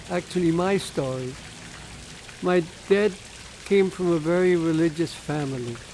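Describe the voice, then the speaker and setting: The delivery comes at a moderate pace with ordinary pitch variation and long, frequent pauses. There is noticeable background noise. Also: man. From Germany, Berlin. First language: German. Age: 90s. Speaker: Holocaust-era refugee telling life story. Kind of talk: oral history testimony. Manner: halting.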